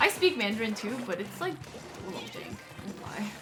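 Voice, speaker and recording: Someone speaks at a fairly quick pace with an American accent. Noticeable background noise sits behind the voice. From US. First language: Shanghainese. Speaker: video game streamer. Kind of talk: casual chat. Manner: casual, filler-heavy.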